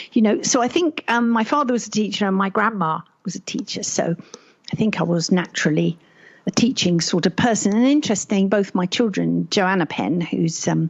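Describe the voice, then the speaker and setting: A woman talks at a fairly quick pace and medium pitch, somewhat breathy, with lively intonation. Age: 70s. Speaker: author and retired teacher. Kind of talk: interview. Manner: formal.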